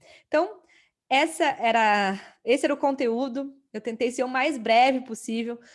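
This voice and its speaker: A plain, everyday voice from a woman, fairly high in pitch with ordinary pitch variation, at a moderate pace on a very clean recording with a silent background. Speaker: holistic therapist and course teacher. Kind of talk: lecture.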